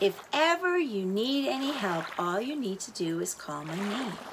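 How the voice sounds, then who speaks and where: Using a put-on character voice, a female-sounding speaker at medium pitch talks at a moderate pace over clear background noise. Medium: read story. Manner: gurgling.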